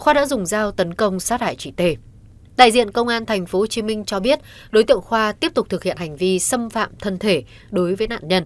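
A woman's normal speaking voice at a fairly high pitch and fairly quick pace, with lively intonation, on a very clean recording with a silent background. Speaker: news presenter. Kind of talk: news reading. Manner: formal.

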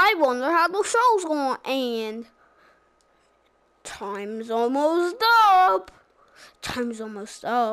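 A woman's high-pitched put-on character voice, very slow, with long, frequent pauses. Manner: cartoonish, silly.

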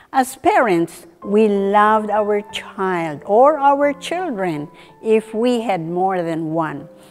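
Faint music plays in the background as a woman speaks at a very slow pace. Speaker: presenter. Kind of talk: devotional talk to camera. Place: studio. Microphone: lapel.

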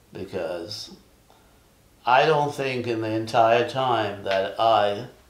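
Spoken at a very slow pace with ordinary pitch variation, the voice carries audible room echo. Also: man. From Jamaica. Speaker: Vietnam war veteran. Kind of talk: interview answer. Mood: calm, reflective. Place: home room.

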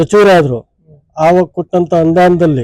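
With a high pitch, ordinary pitch variation and a dark, mellow tone, a man speaks in a dry, close recording with no echo. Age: 50s. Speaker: local politician. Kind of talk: press interview.

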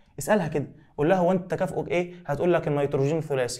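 A man with a fairly high pitch and an Egyptian accent, with audible room echo. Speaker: biology teacher. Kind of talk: exam review lecture. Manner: animated.

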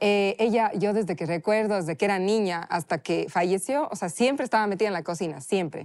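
In a strong Cuenca Ecuadorian accent, a woman talks at a fairly quick pace with hardly any pauses. Her pitch is medium, and the background is quiet. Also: ordinary pitch variation. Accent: Cuenca accent, still strong. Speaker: chef. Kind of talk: casual interview.

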